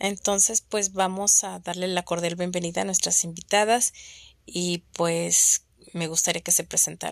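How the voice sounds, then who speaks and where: A woman's fairly slow, monotone, flat delivery in a dry, close sound with no echo. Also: fairly low pitch for a woman. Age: 40s. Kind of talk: casual chat.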